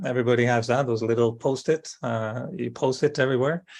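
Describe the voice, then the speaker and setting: A man's medium-pitched voice with a French accent. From France, Brittany. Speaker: spiritual speaker. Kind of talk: interview. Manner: hesitant, with fillers.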